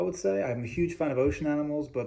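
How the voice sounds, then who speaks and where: A man with a slight English accent speaks at a fairly high pitch, his voice swinging very widely up and down. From England. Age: 20s. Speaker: communications student. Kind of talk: class presentation speech.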